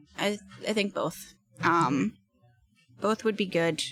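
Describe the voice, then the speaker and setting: A soft-spoken woman at medium pitch with vocal fry and a fairly slow pace. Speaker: multi-disciplinary artist and actor. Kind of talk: casual interview.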